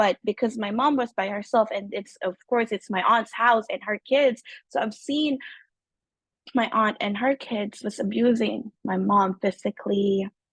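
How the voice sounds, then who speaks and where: Fairly high-pitched and somewhat breathy, a woman talks at a fairly slow pace with fairly even intonation, the sound dry and close with no echo. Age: 30s. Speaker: trauma survivor sharing story. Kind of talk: testimony. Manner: halting.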